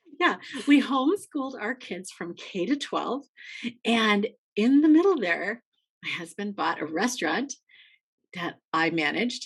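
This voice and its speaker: An animated, somewhat breathy voice at a fairly slow pace, with very wide pitch swings and long, frequent pauses. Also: woman, fairly high pitch for a woman. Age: 60s. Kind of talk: casual interview chat.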